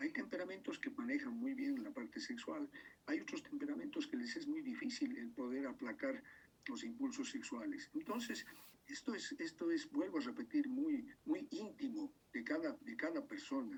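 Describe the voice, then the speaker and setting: A man at a moderate pace, extremely high in pitch, with ordinary pitch variation. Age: 60s. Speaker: doctor giving a talk. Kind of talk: lecture. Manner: halting, many repetitions and fillers.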